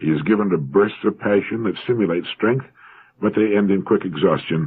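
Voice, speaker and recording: A man with a fairly low pitch speaks in a plain, everyday voice with an American accent. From United States. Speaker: motivational radio speaker. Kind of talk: motivational talk, read-aloud essay with quoted passages.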